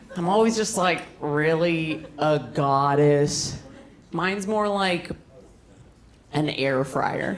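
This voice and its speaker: Speaking at a very slow pace with long, frequent pauses, a woman uses a very deep, low pitch and ordinary pitch variation, with audible room echo and noticeable background noise. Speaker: stand-up comedian. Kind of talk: stand-up. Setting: stage with audience.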